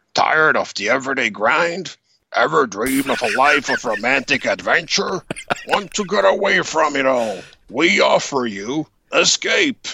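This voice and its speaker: A man puts on a character voice with very wide pitch swings. His pitch is fairly high and his pace moderate. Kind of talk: polished, announcer-style.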